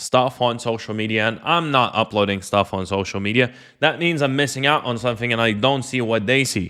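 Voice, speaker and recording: A man's bright, sharp voice at medium pitch with a non-native accent, ordinary pitch variation and a moderate pace, on a very clean recording with a silent background. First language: not English. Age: 20s. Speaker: online entrepreneur and coach. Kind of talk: personal story monologue. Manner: casual, filler-heavy.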